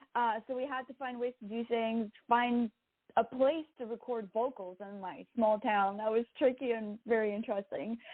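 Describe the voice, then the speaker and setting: Speaking at a moderate pace with a Quebec accent, a woman uses a fairly high pitch and fairly even intonation while her loudness swings widely. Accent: French-Canadian accent in English. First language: French. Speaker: singer-songwriter. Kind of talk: interview. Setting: podcast interview.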